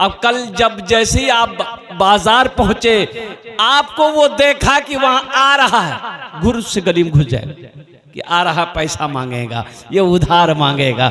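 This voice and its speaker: Over noticeable background noise, a man projects his voice at a high pitch with very wide pitch swings. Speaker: Islamic preacher giving a sermon. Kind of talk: Islamic religious sermon with humorous anecdotes, delivered to a crowd.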